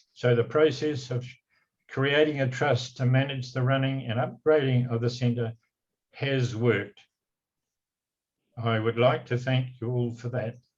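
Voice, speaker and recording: A man with a New Zealand accent speaks at a fairly slow pace, pausing long and often. His medium-pitched voice is somewhat breathy and delivered in a flat monotone. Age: 80s+. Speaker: retiring community trust chairman. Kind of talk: farewell speech read from notes. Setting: council meeting. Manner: halting, with frequent fillers.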